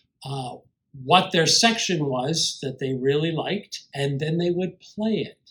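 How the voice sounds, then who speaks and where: A man speaks at a fairly slow pace, his pitch fairly high with ordinary variation. His loudness swings widely. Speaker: composer and piano teacher. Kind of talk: lecture. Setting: online conference video. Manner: loud, strongly inflected stage voice; many fillers and repetitions.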